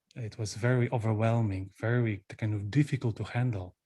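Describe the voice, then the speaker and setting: Over a quiet background, a man with a Polish accent speaks at a medium pitch in a somewhat breathy voice. His pace is fairly slow and his intonation fairly even. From Poland. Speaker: Buddhist monk, retreat teacher. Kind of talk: dharma talk. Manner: halting.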